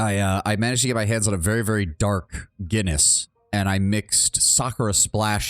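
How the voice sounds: Natural voice for reading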